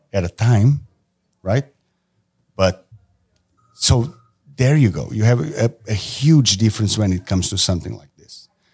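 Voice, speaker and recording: A man with a fairly low pitch speaks at a fairly slow pace, somewhat breathy, with lively intonation, big swings in loudness and long, frequent pauses. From Portugal. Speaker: tattoo artist. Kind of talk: casual chat.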